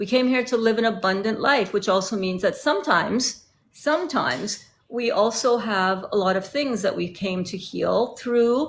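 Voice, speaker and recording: Vocal fry runs through this woman's speech. She talks at a moderate pace with lively intonation. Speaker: terminally ill cancer patient. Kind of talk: live stream interview. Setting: live stream.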